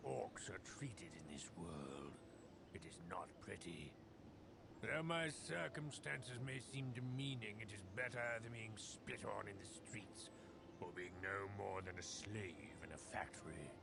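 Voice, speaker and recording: A man uses a put-on character voice with a fairly low pitch. He talks at a fairly slow pace over loud background noise. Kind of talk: comic broken-English act slipping into posh speech. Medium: actual play. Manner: switches between grunting broken English and refined eloquence.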